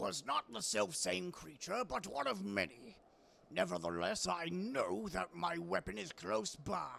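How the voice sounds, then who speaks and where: A man performs a put-on character voice with very wide pitch swings. His pitch is medium and his pace moderate. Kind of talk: mock-archaic theatrical speech. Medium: actual play. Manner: grandiloquent.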